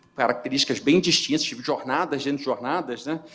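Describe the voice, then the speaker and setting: Lively intonation from a man with a fairly high voice. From Rio de Janeiro, Brazil. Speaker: company CFO, award finalist. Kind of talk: award presentation speech. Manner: halting, many filler repetitions.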